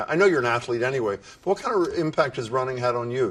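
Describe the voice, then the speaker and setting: Over noticeable background noise, a man with a medium pitch makes very wide pitch swings. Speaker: TV news host. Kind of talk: TV interview questions.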